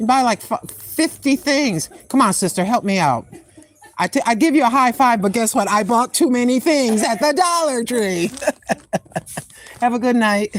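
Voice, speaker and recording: A woman's high-pitched, animated voice with lively intonation and very even loudness at a moderate pace, amid noticeable background noise. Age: 60s. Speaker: live-streaming vlogger. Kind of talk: casual live stream chat. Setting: store.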